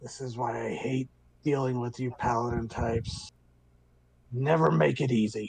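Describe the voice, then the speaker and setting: A man's rumbling put-on character voice at medium pitch, moderate pace, with long, frequent pauses. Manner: weary, annoyed.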